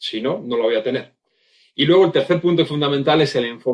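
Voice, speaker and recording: A man's normal speaking voice, fairly high in pitch, at a fairly quick pace with ordinary pitch variation. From Spain, Basque Country (Vitoria). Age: 50s. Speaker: communication and leadership speaker, former magician. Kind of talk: interview conversation.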